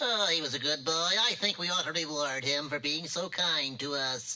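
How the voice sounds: A cartoonish character voice at a middle pitch moves along at a moderate pace.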